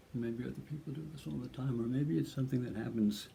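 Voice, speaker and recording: A man talks with lively intonation at a medium pitch. His tone is dark and mellow, and somewhat breathy. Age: 70s. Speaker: artist. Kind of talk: casual chat. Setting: at home. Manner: halting.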